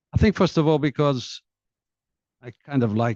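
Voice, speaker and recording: A man's somewhat breathy voice with a dark, mellow tone, at a fairly slow pace, with very wide pitch swings, dry and close with no echo. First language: Portuguese. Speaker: diplomat and author. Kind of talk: book presentation talk. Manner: hesitant, many fillers.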